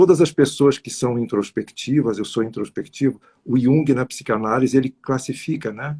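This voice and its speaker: His dark, mellow tone is somewhat breathy, with big swings in loudness, as the man runs on with hardly any pauses. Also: medium pitch for a man, ordinary pitch variation, moderate pace. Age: 60s. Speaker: numerologist. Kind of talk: interview on live stream. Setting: live stream.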